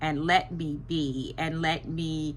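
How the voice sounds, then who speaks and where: A woman speaks with a very deep, low pitch and vocal fry. Audible room echo can be heard. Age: 60s. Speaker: vlogger. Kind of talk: casual monologue to camera. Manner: hesitant, many fillers.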